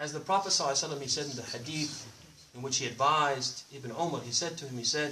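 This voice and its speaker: Amid audible room echo and noticeable background noise, a man with a fairly high pitch speaks at a very fast pace. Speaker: Islamic preacher. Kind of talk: sermon. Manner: loud; animated, call-and-response questions.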